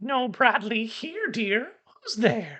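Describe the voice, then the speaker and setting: The speaker performs a put-on character voice at a fairly high pitch. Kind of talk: warm, welcoming. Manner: very friendly.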